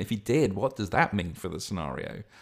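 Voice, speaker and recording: A man talks at a very fast pace with a slight Lancashire accent. His pitch is fairly low. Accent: Lancashire-tinged English. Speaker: podcast host and game master. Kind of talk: casual monologue. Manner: rambling, halting, chatty.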